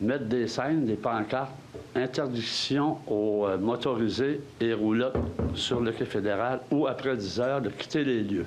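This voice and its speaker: With a Quebec accent, a man talks at a fairly slow pace with very even loudness and ordinary pitch variation, with audible room echo and noticeable background noise. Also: medium pitch for a man. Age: 70s. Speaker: citizen asking question. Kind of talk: public meeting Q&A. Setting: council hall with audience.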